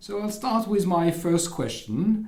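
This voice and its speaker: Over noticeable background noise and audible room echo, a man with a French accent talks at a moderate pace. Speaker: university administrator and podcast moderator. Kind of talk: interview. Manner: halting.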